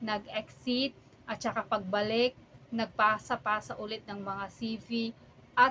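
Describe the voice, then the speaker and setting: At a very slow pace, a woman talks with a fairly high pitch and fairly even intonation. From Philippines. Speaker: vlogger, overseas accountant. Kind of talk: casual vlog monologue.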